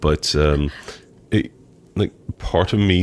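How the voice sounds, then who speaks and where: A man's very deep, low voice at a very slow pace, over noticeable background noise. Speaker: podcast co-host. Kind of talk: casual chat. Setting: studio with microphones, on a couch.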